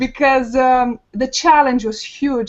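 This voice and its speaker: The speaker has a Romanian accent. Intonation stays fairly even. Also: woman. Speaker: online marketer, panel guest. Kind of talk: personal story on a webinar panel. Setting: video call. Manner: hesitant, many fillers.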